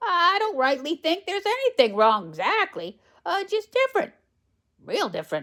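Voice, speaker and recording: Putting on a character voice, a woman drawls at a moderate pace at an extremely high pitch, with very wide pitch swings. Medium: read story. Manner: slow, drawling.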